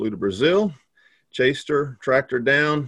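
A man with a Texan accent talks at a fairly slow pace. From Texas. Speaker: pastor. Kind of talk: casual chat.

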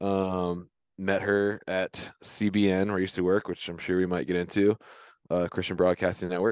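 Against a quiet background, a man with an American accent speaks at a moderate pace in a very deep, low pitch with monotone, flat intonation and a dry, close sound with no echo. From Virginia, US. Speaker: hunter and outdoors podcaster. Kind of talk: casual interview conversation. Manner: hesitant, many fillers.

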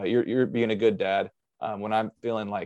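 A man with an American accent speaks at a fairly quick pace in a fairly low pitch, with a plain, everyday voice. His intonation stays fairly even against a quiet background. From US Midwest, Southern Illinois. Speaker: pastor. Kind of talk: casual chat.

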